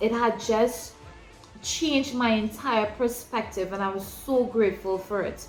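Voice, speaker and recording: With music in the background and audible room echo, a woman speaks at a fairly slow pace in a fairly high pitch, her intonation fairly even. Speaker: ministry leader. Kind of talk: teaching talk.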